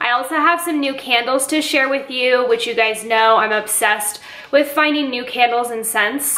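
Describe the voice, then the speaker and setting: A woman uses a raised, projected voice with ordinary pitch variation. Audible room echo surrounds her. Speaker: lifestyle vlogger. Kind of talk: casual vlog chat. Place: kitchen. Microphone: phone near.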